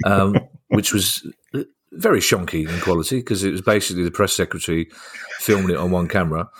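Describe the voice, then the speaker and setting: A man with a London accent speaks very fast in a very deep, low pitch, his intonation fairly even. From South London. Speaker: comedian and podcast host. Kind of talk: casual chat.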